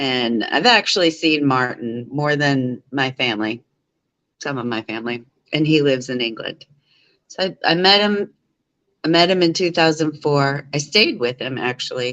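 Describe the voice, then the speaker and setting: The speaker mumbles at a moderate pace. The intonation is lively. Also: woman, very deep, low pitch for a woman. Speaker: live streamer. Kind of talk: casual chat. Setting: live stream from home living room. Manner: rambling, mumbling.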